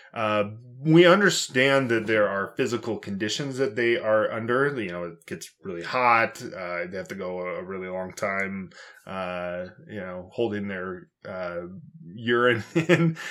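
A man speaks in a normal speaking voice, fairly low in pitch, at a fairly slow pace, with lively intonation and big swings in loudness. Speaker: podcast co-host. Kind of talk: casual chat.

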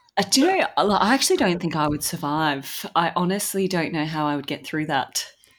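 A fairly low-pitched woman's voice with an Australian accent, fairly quick and with hardly any pauses, its pitch varying in an ordinary way. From Sydney, Australia. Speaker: podcast co-host, runner. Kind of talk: casual podcast chat.

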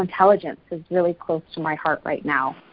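A woman talks at a fairly quick pace in a normal speaking voice, fairly low in pitch, with fairly even intonation. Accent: Canadian. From Canada, Calgary, Alberta. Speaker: life coach and real estate broker. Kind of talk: casual interview conversation.

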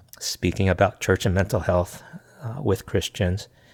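On a very clean recording with a silent background, a man with an American accent and an ordinary speaking voice talks at a fairly low pitch with fairly even intonation. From US, small town. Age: 50s. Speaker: pastor and consultant. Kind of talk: casual interview.

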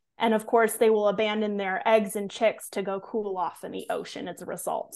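With an American accent, a woman speaks in a plain, everyday voice at fairly high pitch with fairly even intonation. Her pace is moderate, and the background is quiet. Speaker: conservation educator. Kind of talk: casual interview.

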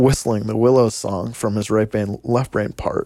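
An unremarkable speaking voice belongs to this man, who talks at a moderate pace with ordinary pitch variation. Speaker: skier and friend. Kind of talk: casual recollection.

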